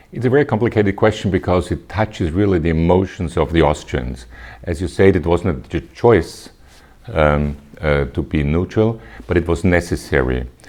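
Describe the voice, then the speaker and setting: The delivery comes at a moderate pace, with vocal fry throughout. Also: man, very deep, low pitch for a man, lively intonation. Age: 60s. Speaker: politician. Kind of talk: interview. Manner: halting.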